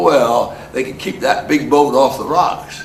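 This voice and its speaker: The speech moves at a fairly quick pace. Noticeable background noise and audible room echo come through. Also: man. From New Jersey. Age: 90s. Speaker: elderly storyteller. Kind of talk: oral history storytelling. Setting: heritage center talk to audience. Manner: halting, repeats words.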